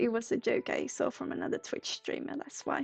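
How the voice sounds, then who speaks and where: Speaking at a moderate pace, a woman talks with a Swedish accent. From Sweden. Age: 20s. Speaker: psychic livestreamer. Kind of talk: livestream chat. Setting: livestream from a room. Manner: halting.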